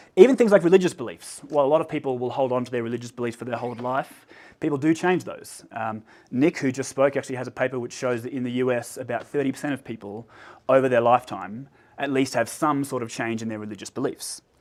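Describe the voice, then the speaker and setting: A man with an Australian accent talks at a very fast pace in a medium pitch, with ordinary pitch variation and big swings in loudness, on a very clean recording with a silent background. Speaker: researcher. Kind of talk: lecture. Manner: hesitant, many fillers.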